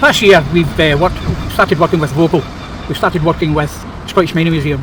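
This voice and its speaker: Fairly high-pitched male voice, fairly even intonation, noticeable background noise. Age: 60s. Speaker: men's shed member. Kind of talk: interview testimony.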